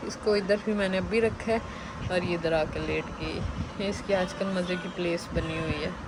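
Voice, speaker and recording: Pitch varies in an ordinary way. Background noise is noticeable. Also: woman. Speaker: vlogger. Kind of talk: casual vlog narration.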